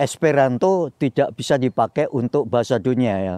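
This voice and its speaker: A man with a Javanese accent at medium pitch, dark and mellow in tone, at a fairly slow pace against a quiet background. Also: dry sound with no echo. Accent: Javanese-accented Indonesian (medok). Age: 80s+. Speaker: Indonesian exile and retiree; interviewee. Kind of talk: interview, life story. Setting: outdoors in a garden. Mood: calm, reflective, sometimes animated. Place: garden.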